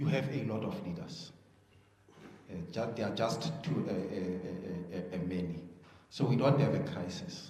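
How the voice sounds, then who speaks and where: Through audible room echo and noticeable background noise, a man with a fairly low pitch speaks at a moderate pace, using very wide pitch swings and long, frequent pauses. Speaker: party official. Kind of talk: press briefing. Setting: media briefing. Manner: halting, many fillers.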